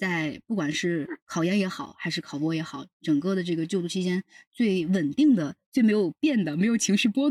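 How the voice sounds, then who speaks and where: Lively intonation marks a man's high voice as he talks at a fairly quick pace. The recording is very clean, with a silent background and a dry, close sound with no echo. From southern China. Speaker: PhD student. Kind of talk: casual interview chat.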